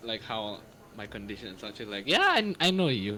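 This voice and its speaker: With an Indonesian accent, a man speaks at a fairly quick pace with a fairly low pitch and lively intonation, against noticeable background noise. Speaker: stream viewer contestant. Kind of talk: casual chat. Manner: halting.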